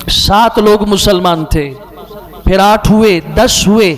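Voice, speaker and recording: With noticeable background noise behind him, a man talks in a high pitch. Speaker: Islamic scholar and mufti. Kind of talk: Islamic sermon (bayan) delivered to an audience.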